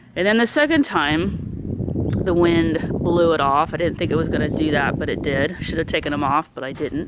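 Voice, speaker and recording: Noticeable background noise sits behind a voice moving at a fairly quick pace. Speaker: home haunt builder, vlogger. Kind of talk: casual vlog update. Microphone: voice muffled by mask.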